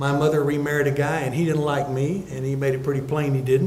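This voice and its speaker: The voice is somewhat breathy with a dark, mellow tone, fairly even intonation and a fairly quick pace, set in audible room echo. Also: man. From Texas (Uvalde; moved among army posts). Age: 70s. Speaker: distinguished lecture speaker, university alumnus. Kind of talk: lecture with personal storytelling. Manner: conversational, folksy.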